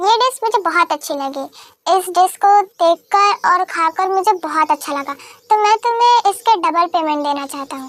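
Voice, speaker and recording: A woman uses a put-on character voice at an extremely high pitch. Her pace is moderate and her intonation lively. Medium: fan dub. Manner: self-assured.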